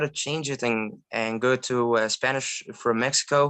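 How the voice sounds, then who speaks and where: A man talks in a bright, sharp tone with ordinary pitch variation. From Egypt. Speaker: language learner, polyglot. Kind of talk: casual chat. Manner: halting, many fillers.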